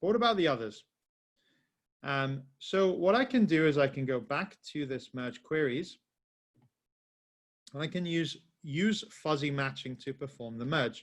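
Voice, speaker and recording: Against a quiet background, a man with a fairly high pitch talks at a fairly slow pace, using lively intonation and long, frequent pauses. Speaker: software trainer. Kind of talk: webinar tutorial. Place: home room.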